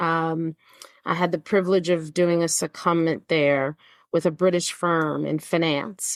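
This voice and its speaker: The recording is very clean with a silent background and a dry, close sound with no echo. A woman speaks fairly slowly at a fairly low pitch, in a monotone, flat intonation with very even loudness. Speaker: podcast host. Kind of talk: interview conversation.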